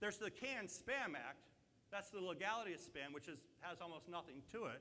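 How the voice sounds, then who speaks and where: Raised, projected male voice, high-pitched and bright, sharp in tone, with lively intonation. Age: 60s. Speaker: marketing speaker. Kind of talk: conference presentation. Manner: animated.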